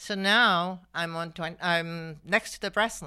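Against a silent background on a very clean recording, a woman speaks at a fairly low pitch. Her tone is bright and sharp, with ordinary pitch variation. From Malaysia. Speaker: fashion designer. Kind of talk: interview.

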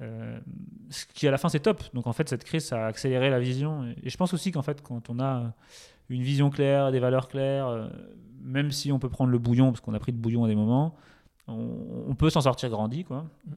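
With a dark, mellow tone and medium pitch, a man talks at a fairly quick pace. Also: ordinary pitch variation, very clean recording, silent background. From France, Touraine near Tours. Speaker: startup co-founder, entrepreneur. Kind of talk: casual interview chat.

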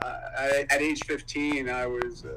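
Against noticeable background noise, a man speaks with a Canadian accent. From Ontario, Canada. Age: 40s. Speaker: motivational speaker. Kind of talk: casual interview.

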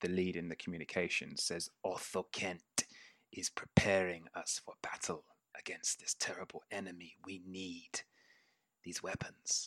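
A man puts on a raspy character voice with a very deep, low pitch. He speaks at a moderate pace. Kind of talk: tabletop game master voicing. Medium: actual play. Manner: stiff, formal, solemn.

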